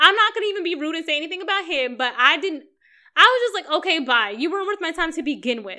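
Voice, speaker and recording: A woman's extremely high, bright, sharp voice is raised and projected, animated and very fast, with very wide pitch swings and big swings in loudness. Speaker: friend of the host. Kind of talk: casual chat.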